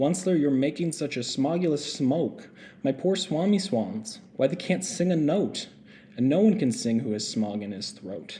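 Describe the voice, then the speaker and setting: A man puts on a croaky character voice, fairly high in pitch, speaking at a moderate pace with clear background noise behind him. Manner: complaining, scolding.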